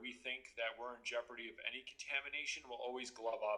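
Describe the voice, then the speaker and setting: A man talks fairly quickly at medium pitch with a bright, sharp tone. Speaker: state police trooper. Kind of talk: interview answer.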